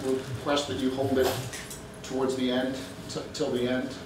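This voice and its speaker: A man talks at a fairly quick pace, with audible room echo and noticeable background noise. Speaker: guest lecturer. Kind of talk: lecture. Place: hall. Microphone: camera far.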